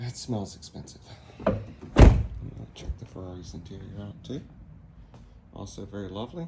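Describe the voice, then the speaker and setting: The speaker talks at a moderate pace in a relaxed tone, with long, frequent pauses. Audible room echo and noticeable background noise fill the recording. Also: man. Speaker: DIY car repair vlogger. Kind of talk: casual DIY tutorial vlog. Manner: casual, relaxed.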